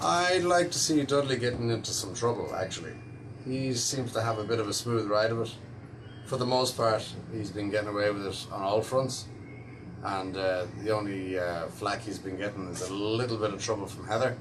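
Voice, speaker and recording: Amid noticeable background noise and audible room echo, a man with an Irish accent talks at a moderate pace, his pitch fairly low with ordinary variation. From Ireland, Dublin. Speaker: actor. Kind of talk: interview answers.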